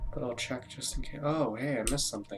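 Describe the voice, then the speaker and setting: A quiet man at medium pitch, very fast and fairly even in intonation, with music in the background. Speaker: gaming YouTuber. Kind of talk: let's play commentary. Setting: home, recording in the dark. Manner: quiet, keeping voice down. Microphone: too quiet.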